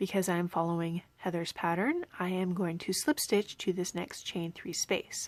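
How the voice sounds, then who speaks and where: A woman speaks at a fairly slow pace with a medium pitch. Hers is a normal speaking voice. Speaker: crochet teacher. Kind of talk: tutorial.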